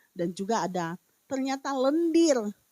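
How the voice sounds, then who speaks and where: A woman talks at a moderate pace, her voice dry and close with no echo. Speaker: evangelist preacher. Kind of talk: sermon. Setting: online church service. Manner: hesitant, many fillers.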